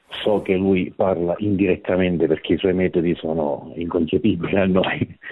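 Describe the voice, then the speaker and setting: A man's very deep, low voice with fairly even intonation, very even loudness and hardly any pauses. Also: moderate pace. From Sicily, province of Catania. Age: 30s. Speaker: caller. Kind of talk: phone-in testimony. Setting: phone call.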